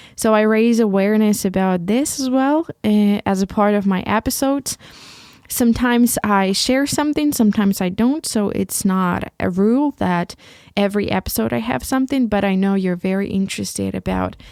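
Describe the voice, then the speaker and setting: A woman with a Ukrainian accent, medium pitch, lively intonation and a moderate pace, in a dry, close sound with no echo. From Ukraine. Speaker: podcast host. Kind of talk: solo podcast monologue. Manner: halting, many repetitions.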